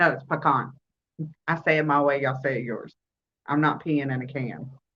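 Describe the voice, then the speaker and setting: Speaking at a fairly quick pace, a woman with a Southern US accent uses a very deep, low pitch and monotone, flat intonation. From US South. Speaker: crochet livestream host. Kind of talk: casual chat. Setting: livestream on phone.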